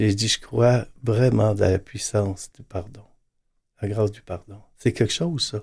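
Somewhat breathy, a man speaks with ordinary pitch variation and big swings in loudness. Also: fairly slow pace. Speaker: priest. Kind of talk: panel discussion.

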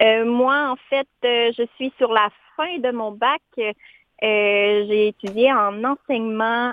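A woman speaks with fairly even intonation. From Quebec, Montmagny region. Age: 20s. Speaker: education student and amputee. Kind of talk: interview.

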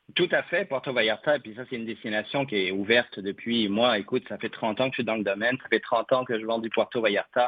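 A man at medium pitch talks at a very fast pace with hardly any pauses. His pitch variation is ordinary. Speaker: travel columnist. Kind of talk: radio column.

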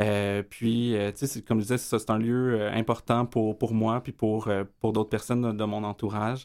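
Over a silent background in a very clean recording, a man talks at a fairly slow pace and medium pitch in a flat monotone. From Quebec, east Montreal (Rosemont). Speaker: community organization director. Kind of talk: radio interview.

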